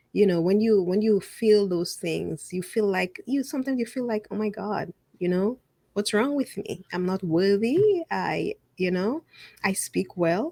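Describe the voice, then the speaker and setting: A woman's medium-pitched voice with a non-native accent and a dark, mellow tone, fairly slow, with ordinary pitch variation, in a dry, close sound with no echo. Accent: foreign. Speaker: media host and speaker. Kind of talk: interview conversation.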